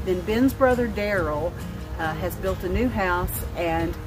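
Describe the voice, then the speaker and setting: With a Southern US accent, a woman speaks at a fairly slow pace. Background noise is noticeable. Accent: southern drawl. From North Alabama. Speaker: vlogger. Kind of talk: casual chat. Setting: outdoors.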